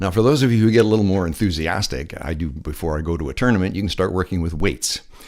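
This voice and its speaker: Speaking at a very fast pace, a man shows vocal fry and ordinary pitch variation. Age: 60s. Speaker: lifeguard instructor. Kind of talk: voiceover tutorial. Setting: voiceover recorded separately from pool video.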